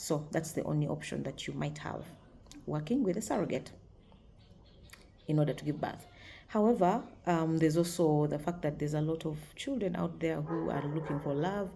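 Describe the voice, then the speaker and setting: In a room with audible echo, a woman speaks at a moderate pace with very deep, low pitch and a dark, mellow tone. Vocal fry runs through her voice, broken by long, frequent pauses. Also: ordinary pitch variation. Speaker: video blogger. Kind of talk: casual talk to camera. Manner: hesitant, many fillers.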